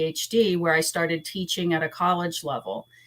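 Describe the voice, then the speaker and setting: In a fairly low pitch, a woman speaks with an American accent and monotone, flat intonation. The recording is very clean, with a silent background. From US Virgin Islands, Saint Thomas. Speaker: school board candidate. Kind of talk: interview.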